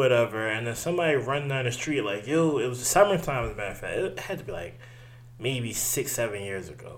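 Amid audible room echo, a man speaks at a fairly quick pace with very wide pitch swings. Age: 20s. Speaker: podcast co-host. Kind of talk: casual chat.

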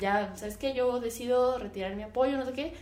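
Audible echo from the room colors this woman's voice. She keeps a moderate pace, and her pitch varies in an ordinary way. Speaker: podcast host. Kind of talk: casual opinion monologue. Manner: halting, stumbling over words.

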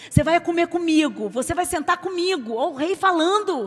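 Speaking at a fairly quick pace, a woman uses lively intonation at an extremely high pitch. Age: 40s. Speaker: preacher. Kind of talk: sermon.

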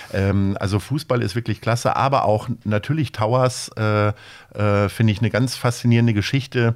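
In a very clean recording with a silent background, a man speaks at a moderate pace in a medium pitch with fairly even intonation. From Lower Saxony, near Hanover. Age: 50s. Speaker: agency owner and charity founder. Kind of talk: interview. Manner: hesitant with frequent fillers.

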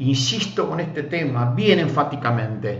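The speaker is a man with a medium pitch and ordinary pitch variation. Audible room echo surrounds his voice. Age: 50s. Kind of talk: sermon. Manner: frequent filler hesitations.

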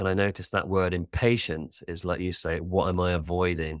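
With a British accent, a man speaks at a fairly quick pace in a very deep, low voice with monotone, flat intonation, on a very clean recording with a silent background. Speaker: life coach. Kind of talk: casual chat. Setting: studio. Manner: fast talker.

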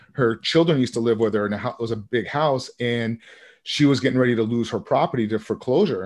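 In a quiet setting, a man with an American accent talks fairly quickly in an unremarkable speaking voice, medium-pitched and fairly even in intonation. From Vermont, US. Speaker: real estate investor. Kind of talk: interview.

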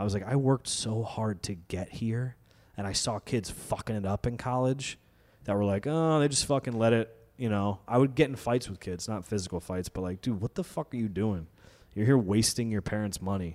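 An ordinary speaking voice. The pace is fairly quick. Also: man, fairly low pitch for a man, ordinary pitch variation. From New York, Westchester County; teen years in Connecticut. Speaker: fitness trainer and comedian. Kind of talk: casual chat.

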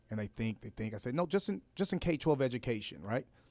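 A man's voice with very wide pitch swings, in a very clean recording with a silent background. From Los Angeles, California. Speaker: rapper and educator. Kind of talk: radio interview.

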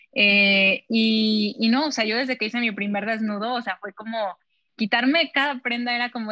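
A woman's medium-pitched voice, an ordinary speaking voice, at a moderate pace with fairly even intonation. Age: 20s. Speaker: model. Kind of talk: interview.

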